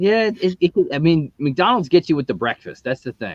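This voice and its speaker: The speaker has a US East Coast accent and talks at a very fast pace. Pitch swings very widely. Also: man. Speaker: YouTube show host. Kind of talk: casual chat.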